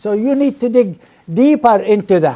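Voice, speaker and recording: A man with a Middle Eastern accent and an extremely high pitch speaks at a fairly slow pace with ordinary pitch variation. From Palestine/Israel (Nazareth). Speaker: former intelligence analyst and professor. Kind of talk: lecture. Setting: seminar audience. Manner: hesitant with many fillers.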